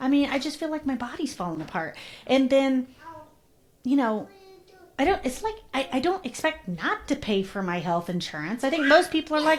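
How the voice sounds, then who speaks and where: At a moderate pace, a woman with a high pitch speaks using very wide pitch swings. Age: 40s. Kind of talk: casual interview conversation. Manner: animated storytelling.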